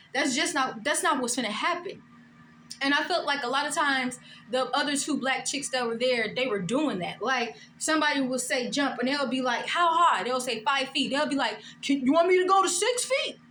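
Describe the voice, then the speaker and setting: At a fairly quick pace, a woman speaks with a high pitch and ordinary pitch variation, with audible room echo around her. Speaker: vlogger. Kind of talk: storytime vlog, casual monologue. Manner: soft-spoken; animated.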